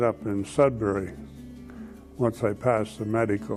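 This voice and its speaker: Music plays behind a man who talks at a fairly slow pace with ordinary pitch variation. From Canada. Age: 70s. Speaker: retiree, Air Force veteran. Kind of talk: interview answer. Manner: hesitant, conversational.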